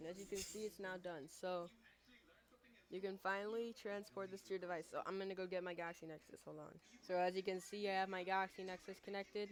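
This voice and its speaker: Speaking very fast, a woman keeps a monotone, flat intonation. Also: medium pitch for a woman. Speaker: tech tutorial youtuber. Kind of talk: tutorial. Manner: halting, self-admitted stuttering; casual.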